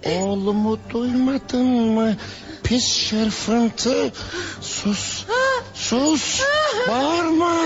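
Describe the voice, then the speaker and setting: Someone does a put-on character voice at a fairly high pitch, speaking very slowly against clear background noise. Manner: harsh, scolding.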